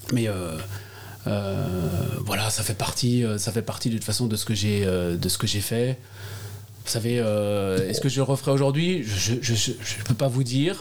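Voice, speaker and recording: Very slow speech with ordinary pitch variation against noticeable background noise. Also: man, medium pitch for a man. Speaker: politician. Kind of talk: interview. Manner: halting, many repetitions and hesitations.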